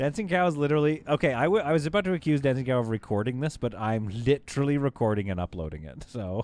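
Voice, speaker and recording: A man with a Canadian accent at a very fast pace, very wide pitch swings, on a very clean recording with a silent background. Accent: somewhat Canadian. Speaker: game streamer. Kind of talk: live gameplay stream chat. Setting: live stream. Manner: casual, chatty.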